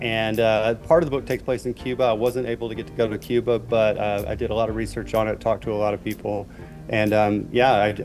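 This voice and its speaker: Clear music plays behind a man speaking at a very fast pace. His intonation is fairly even. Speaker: remote guest. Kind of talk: interview answer. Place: home room. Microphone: earbuds.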